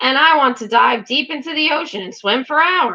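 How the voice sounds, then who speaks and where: Here a woman puts on a character voice with a high pitch. She keeps a moderate pace. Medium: read story. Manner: chuckling, gracious.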